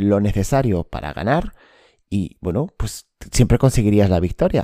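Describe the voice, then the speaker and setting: A man speaks in a dark, mellow tone. The very clean recording has a silent background and a dry, close sound with no echo. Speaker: sports psychology podcast host. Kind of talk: solo podcast monologue.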